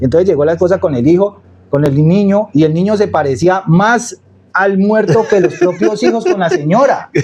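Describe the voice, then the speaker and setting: A man with a Cali accent and a high pitch, moderate pace, very even loudness, an animated tone and lively intonation. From Cali, Colombia. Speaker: storyteller and social media creator. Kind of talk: casual interview. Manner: animated storytelling.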